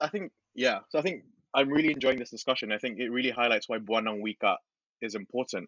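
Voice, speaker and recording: Very fast speech from a man at medium pitch, with ordinary pitch variation. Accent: British. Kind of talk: casual chat. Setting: podcast recording.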